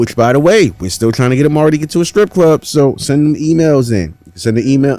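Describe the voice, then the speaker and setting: A man speaks with lively intonation and a dark, mellow tone. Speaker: podcast host, studio engineer. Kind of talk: casual chat. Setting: studio.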